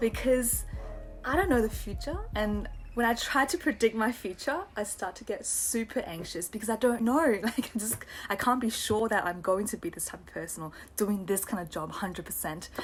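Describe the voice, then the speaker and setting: Against noticeable background noise, a woman with an Australian accent speaks at a moderate pace and fairly high pitch, with lively intonation and big swings in loudness. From Australia, Taiwanese family. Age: 20s. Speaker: student teacher, vlogger. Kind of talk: casual vlog monologue. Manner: hesitant, many fillers.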